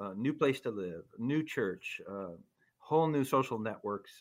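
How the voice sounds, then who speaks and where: Over a silent background in a very clean recording, a man talks at a moderate pace in a normal speaking voice with lively intonation. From US Midwest, small town in central Minnesota. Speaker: sociologist and author. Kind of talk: interview conversation.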